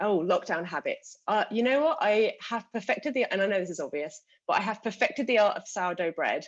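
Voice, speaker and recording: A woman with a British accent speaks at a fairly quick pace, her medium-pitched voice carrying lively intonation. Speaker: customer success manager, panelist. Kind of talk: live panel webinar.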